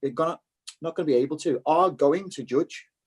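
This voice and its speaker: A man speaks with a Liverpool accent and a fairly high pitch. The sound is dry and close, with no echo. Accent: Scouse. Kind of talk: casual chat. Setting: video call.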